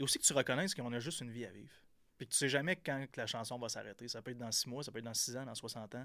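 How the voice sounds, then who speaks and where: A man talks at a very fast pace with a bright, sharp tone, medium pitch and ordinary pitch variation. His loudness swings a lot on a very clean recording with a silent background. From Quebec, Gaspésie (Percé). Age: 30s. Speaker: entrepreneur. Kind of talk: casual interview. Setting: studio.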